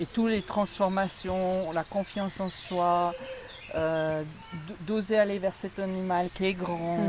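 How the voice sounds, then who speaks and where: Speaking at a very slow pace, a woman keeps a monotone, flat intonation. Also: medium pitch for a woman. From Alsace, France. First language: Alsatian (speaking French). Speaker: equine coach, former nurse. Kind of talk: interview conversation. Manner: hesitant.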